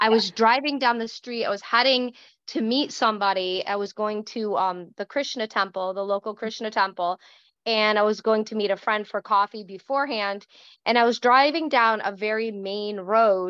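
Heard dry with no echo over a quiet background, a woman speaks at a moderate pace with ordinary pitch variation. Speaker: podcast host. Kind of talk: casual chat. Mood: earnest, animated storytelling. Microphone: video call.

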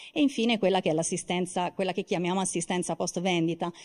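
A woman's dark, mellow tone with fairly even intonation against a quiet background. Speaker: marketing manager, conference speaker; conference speaker. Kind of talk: conference presentation. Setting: auditorium stage with audience. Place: hall. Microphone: handheld.

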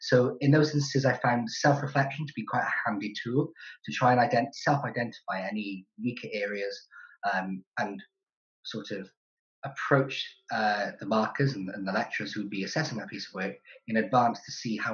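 A somewhat breathy male voice with ordinary pitch variation, against a quiet background. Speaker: graduate student. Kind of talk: interview. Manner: halting. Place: kitchen. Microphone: webcam.

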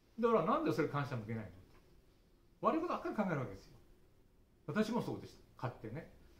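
A man's very fast, fairly high voice with very wide pitch swings, big swings in loudness, long, frequent pauses and audible room echo. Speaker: early childhood education lecturer. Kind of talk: speech at study group. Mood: earnest, reflective. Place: hall. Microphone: camera far.

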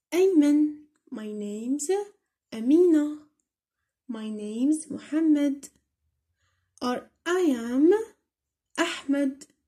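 Speaking very slowly with long, frequent pauses, a woman with an Algerian accent has a high-pitched voice that is dark and mellow in tone. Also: ordinary pitch variation. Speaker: English teacher on a school tutorial channel. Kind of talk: tutorial.

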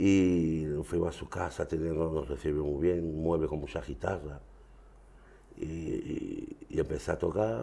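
A man's very deep, low voice has a dark, mellow tone, vocal fry, and ordinary pitch variation. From France (Marseille), Andalusian emigrant family; France. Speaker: flamenco guitarist; guest. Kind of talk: interview. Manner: halting. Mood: relaxed, reminiscing. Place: studio.

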